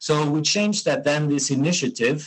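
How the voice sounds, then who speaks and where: A man with a German accent, fairly high pitch and moderate pace. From Germany. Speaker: hydrogen industry association co-founder. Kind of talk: interview. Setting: call. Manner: hesitant, many fillers.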